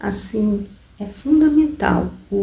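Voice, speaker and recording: Soft-spoken and somewhat breathy, a woman talks at a very slow pace in a dark, mellow, calm tone. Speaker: ASMR reader. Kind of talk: audiobook-style reading for relaxation. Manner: soft-spoken, calm, slow.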